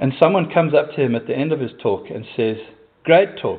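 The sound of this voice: Talking at a fairly quick pace, a man has a slightly husky edge to his voice.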